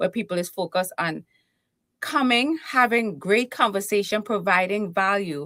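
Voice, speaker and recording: In a very clean recording with a silent background, a woman with a Trinidadian accent speaks at a moderate pace and medium pitch, with a bright, sharp tone and ordinary pitch variation. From Trinidad and Tobago. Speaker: keynote speaker and confidence coach. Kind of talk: interview. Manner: animated.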